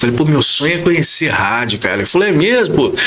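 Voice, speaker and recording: A man speaks with very wide pitch swings and an animated tone. Audible room echo surrounds his voice. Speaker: radio announcer. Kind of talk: podcast interview. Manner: casual, animated storytelling.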